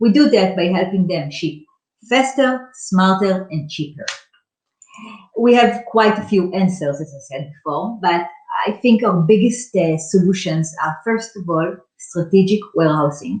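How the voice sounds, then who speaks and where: A woman with an unremarkable speaking voice talks fairly slowly at a medium pitch. Her intonation is lively, with big swings in loudness. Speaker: startup founder pitching company. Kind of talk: startup pitch presentation.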